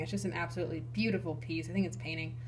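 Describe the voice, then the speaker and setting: A woman's very fast speech with vocal fry and audible room echo. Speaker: YouTube card collector. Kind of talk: casual collection showcase. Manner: animated, enthusiastic.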